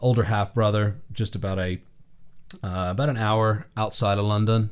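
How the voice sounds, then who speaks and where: A man with an American accent, fairly low in pitch, with fairly even intonation and a moderate pace. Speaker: session drummer. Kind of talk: interview. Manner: casual, with fillers.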